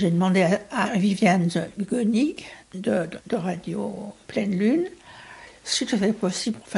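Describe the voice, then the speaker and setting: A woman with vocal fry speaks at a medium pitch with ordinary variation. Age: 60s. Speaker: former community radio producer. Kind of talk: interview testimony.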